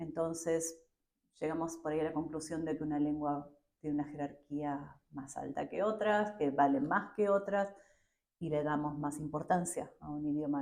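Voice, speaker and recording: With an Argentine accent, a woman talks at a moderate pace in a very deep, low voice, her intonation fairly even but her loudness swinging widely. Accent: Argentine Spanish (Rioplatense). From Argentina. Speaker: education professor. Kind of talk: interview. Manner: hesitant, many fillers.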